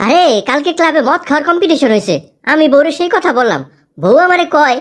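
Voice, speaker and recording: In a cartoonish character voice, a woman speaks at a high pitch and a moderate pace. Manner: proud, chatty.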